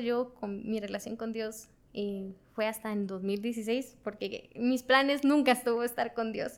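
The recording is very clean, with a silent background. A woman with a plain, everyday voice speaks at a fairly high pitch and with ordinary pitch variation. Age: 20s. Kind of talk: testimony.

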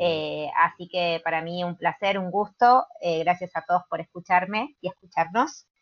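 A woman with a fairly low voice and a Rioplatense accent speaks with hardly any pauses. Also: ordinary pitch variation, fairly slow pace. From Buenos Aires, Argentina. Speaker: gymnastics coach and PE teacher. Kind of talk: casual chat.

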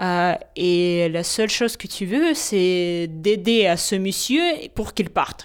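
Very slow speech from a woman, captured in a very clean recording with a silent background. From Ukraine. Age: 20s. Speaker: architect. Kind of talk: testimony.

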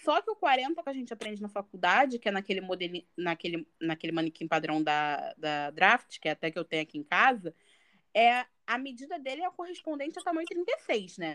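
In a dry, close sound with no echo, a woman speaks fairly quickly at a fairly high pitch with very wide pitch swings. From Baixada Fluminense, Rio de Janeiro, Brazil. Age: 20s. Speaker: fashion designer and content creator. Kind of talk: casual chat.

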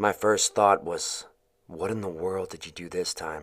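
Male speech, fairly slow in pace. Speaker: narrator reading a friend's story. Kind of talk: eulogy-style first-person narration, mournful and heartfelt.

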